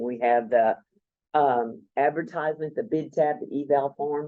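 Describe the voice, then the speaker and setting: Speaking at a moderate pace, a man has an unremarkable speaking voice with fairly high pitch. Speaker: procurement co-op presenter. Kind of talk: presentation.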